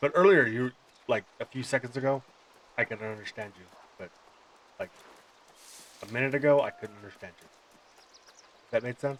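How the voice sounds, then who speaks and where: A man with an American accent speaks at medium pitch and a fairly quick pace, with long, frequent pauses. Noticeable background noise can be heard. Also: ordinary pitch variation. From Montana. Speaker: streamer and army veteran. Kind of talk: casual gaming chat. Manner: hesitant.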